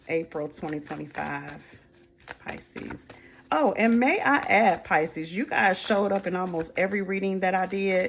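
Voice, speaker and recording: A woman with an American accent talks at a moderate pace and medium pitch with lively intonation, against noticeable background noise. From US Midwest. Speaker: tarot reader. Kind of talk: tarot reading to camera. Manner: casual, affectionate.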